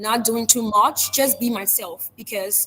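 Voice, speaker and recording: Through noticeable background noise, a woman's fairly high voice shows ordinary pitch variation. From Liberia. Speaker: public speaker. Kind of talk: interview. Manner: fast.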